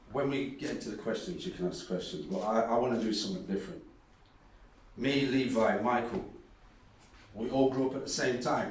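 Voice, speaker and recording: A man's medium-pitched voice, fairly quick pace and lively intonation, long, frequent pauses, audible room echo, and noticeable background noise. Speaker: academic and dub poet. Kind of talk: conference talk.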